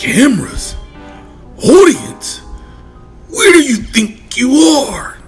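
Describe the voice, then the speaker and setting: A man in a cartoonish character voice speaks at a very slow pace with long, frequent pauses, faint music in the background. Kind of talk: comic cartoon villain. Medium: audio drama. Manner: pompous, grandiose.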